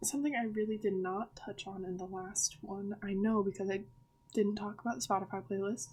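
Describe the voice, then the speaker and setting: At a fairly quick pace, a woman of medium pitch speaks in a somewhat breathy voice with ordinary pitch variation. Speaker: author discussing her book characters. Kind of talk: casual vlog talk. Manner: stuttering today; hesitant, many fillers.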